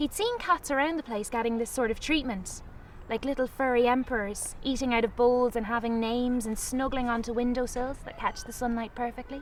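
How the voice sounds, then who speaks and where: Over noticeable background noise, a woman with a Galway accent speaks fairly quickly in a high pitch with fairly even intonation. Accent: Galway Irish. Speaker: author. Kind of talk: storytelling.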